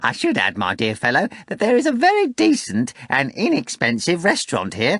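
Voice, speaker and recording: At a moderate pace, a man performs a put-on character voice at a high pitch. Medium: read story. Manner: florid, theatrical.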